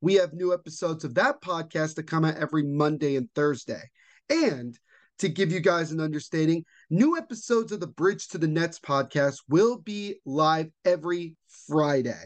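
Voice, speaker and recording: Against a quiet background, a man with an American accent talks at a moderate pace in an ordinary speaking voice. His pitch is fairly high, with ordinary pitch variation. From central New Jersey. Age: 20s. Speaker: sports podcast host. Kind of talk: casual sports commentary monologue.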